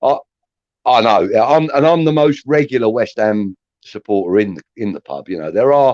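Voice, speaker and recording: A man with a normal speaking voice and medium pitch talks at a moderate pace with lively intonation and big swings in loudness, in a dry, close recording with no echo. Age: 60s. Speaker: football fan. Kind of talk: casual chat.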